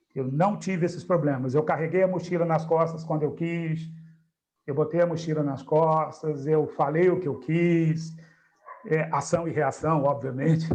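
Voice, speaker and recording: Audible room echo surrounds a man whose fairly high voice keeps fairly even intonation at a moderate pace. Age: 60s. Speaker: spiritist study group leader. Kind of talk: group discussion.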